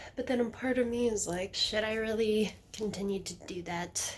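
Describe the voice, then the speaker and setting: The woman speaks at a fairly high pitch. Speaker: leather crafter vlogger. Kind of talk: casual vlog narration.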